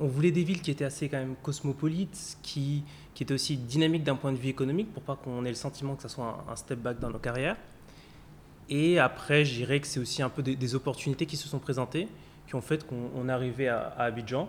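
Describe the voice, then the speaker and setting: A man with a fairly high pitch speaks at a fairly quick pace, somewhat breathy, with ordinary pitch variation. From France, Paris. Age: 30s. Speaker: insurance executive. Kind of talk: interview.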